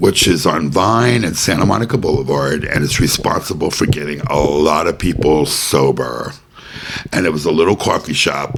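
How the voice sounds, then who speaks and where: With a very deep, low pitch and lively intonation, a man speaks as noticeable background noise carries on. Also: moderate pace. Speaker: podcast host. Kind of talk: casual chat.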